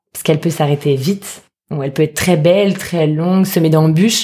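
Somewhat breathy and dark, mellow in tone, a woman with a fairly low voice speaks at a moderate pace with ordinary pitch variation. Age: 30s. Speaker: food entrepreneur, former lawyer. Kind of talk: casual interview.

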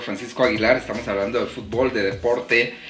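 The man's voice comes through audible room echo, with noticeable background noise present. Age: 40s. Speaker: podcast host. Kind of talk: casual interview chat.

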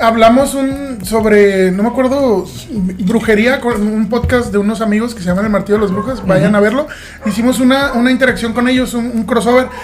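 Audible room echo and noticeable background noise surround a man's voice at an extremely high pitch. He talks at a fairly quick pace with fairly even intonation. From southern Mexico / Caribbean coast. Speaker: podcast host. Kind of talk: casual chat.

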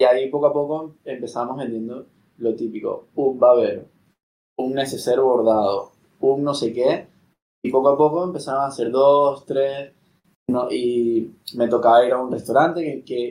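A man talks at medium pitch and a moderate pace. His intonation is fairly even, with long, frequent pauses. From Venezuela. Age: 30s. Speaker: startup co-founder. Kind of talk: casual interview.

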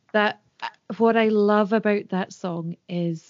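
With a Scottish Highlands and Islands accent, a woman speaks at a fairly slow pace with fairly even intonation. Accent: Scottish Highland and Islands. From Scotland, Isle of Skye. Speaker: folk singer. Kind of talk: interview.

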